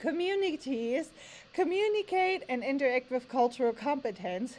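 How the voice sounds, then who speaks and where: A woman's high-pitched voice at a moderate pace, full of very wide pitch swings. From Germany. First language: German. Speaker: language teacher. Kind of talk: tutorial. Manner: reading aloud from standards text.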